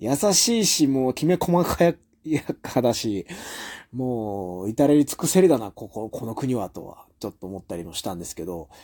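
A man's dark, mellow voice makes very wide pitch swings and big swings in loudness. The recording is very clean, with a silent background. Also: medium pitch for a man, moderate pace, dry, close sound with no echo. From Japan. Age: 30s. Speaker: professional wrestler and podcast host. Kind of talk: casual solo monologue.

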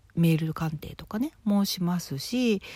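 Fairly low in pitch and somewhat breathy, a woman speaks with a dark, mellow tone and lively intonation in a very clean recording with a silent background. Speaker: fortune teller and writer. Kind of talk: solo talk monologue. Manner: slow.

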